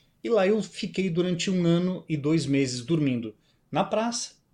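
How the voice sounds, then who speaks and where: A man's slightly breathy voice moves along at a moderate speed. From southern Brazil (Rio Grande do Sul, near Uruguay). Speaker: musician and speaker. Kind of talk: interview storytelling. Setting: video call.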